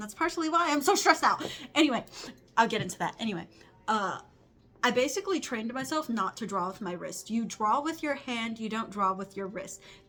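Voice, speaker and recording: A woman with an American accent, fairly high pitch, lively intonation, and a very fast pace. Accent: Southern US, sometimes strong. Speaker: crochet artist and vlogger. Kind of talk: casual vlog talk. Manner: fast, rambling.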